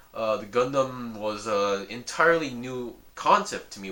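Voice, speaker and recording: Someone with a Korean accent speaks at a moderate pace over noticeable background noise. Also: man. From South Korea, with early schooling at an American school. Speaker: hobby YouTuber reviewing model kits. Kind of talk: casual vlog talk. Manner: halting, with many fillers and restarts.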